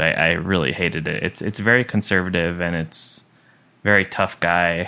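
A man with a very deep, low pitch speaks at a moderate pace in a bright, sharp tone. The recording is very clean, and the background is silent. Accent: American. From US Northeast, Long Island, New York. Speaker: musician. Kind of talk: interview. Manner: casual, halting with fillers.

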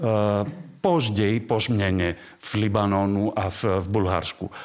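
A man speaks at a very slow pace. His pitch is fairly low, and his intonation stays fairly even. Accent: Greek. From Greece. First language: Greek (speaking Czech). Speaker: archaeologist. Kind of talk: casual interview.

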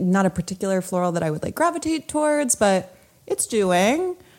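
A normal speaking voice from a woman with a medium pitch, lively intonation and a fairly quick pace. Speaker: podcast co-host. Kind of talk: casual chat.

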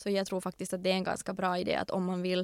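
A woman speaks in a dry, close sound with no echo. The recording is very clean, with a silent background. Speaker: lawyer, entrepreneur and recruiter. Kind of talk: interview.

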